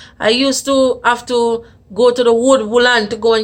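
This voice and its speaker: With a fairly high pitch and monotone, flat intonation, a woman speaks at a moderate pace. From Jamaica, Saint Ann parish. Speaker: vlogger. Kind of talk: personal storytelling. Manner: casual, conversational.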